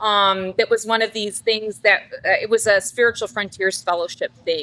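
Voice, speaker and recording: Speaking with a Canadian accent at a moderate pace, a woman has a fairly high pitch, a bright, sharp tone and fairly even intonation. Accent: Canadian, noticeable. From Canada. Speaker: psychic. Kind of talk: casual interview chat. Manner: talkative, long-winded.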